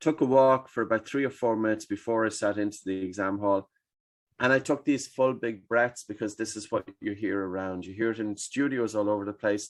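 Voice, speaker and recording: Speaking at a fairly quick pace, a man with an Irish accent uses a fairly low pitch. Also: quiet background. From Ireland. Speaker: breathing expert. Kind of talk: podcast interview answer.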